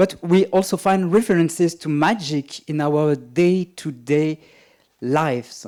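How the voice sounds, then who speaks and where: Recorded very cleanly over a silent background, a man speaks with a high pitch, a dark, mellow tone and ordinary pitch variation. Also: fairly slow pace. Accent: French. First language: French. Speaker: magician and writer, keynote speaker. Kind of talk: keynote lecture. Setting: conference stage.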